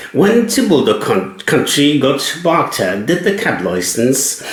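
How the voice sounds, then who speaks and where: A man speaks with a German accent. There is audible room echo along with noticeable background noise. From Germany. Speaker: cab driver and writer. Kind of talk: personal storytelling monologue.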